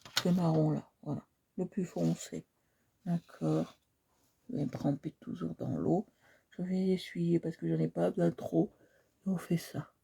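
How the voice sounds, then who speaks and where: A soft-spoken woman talks at a very slow pace with long, frequent pauses. The sound is dry and close, with no echo. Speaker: art instructor livestreamer. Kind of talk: painting tutorial livestream. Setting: live stream.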